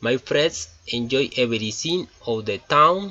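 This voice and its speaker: A man's medium-pitched voice with a Colombian accent and lively intonation. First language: Spanish. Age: 20s. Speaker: engineering student. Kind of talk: class presentation in English. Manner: halting.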